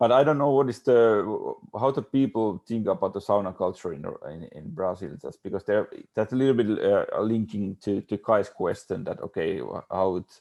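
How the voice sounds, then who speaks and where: A man with a Finnish accent speaks at a moderate pace and medium pitch with a dark, mellow tone, lively intonation and big swings in loudness, over a quiet background. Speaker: architect. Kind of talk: panel discussion. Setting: video call. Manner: halting.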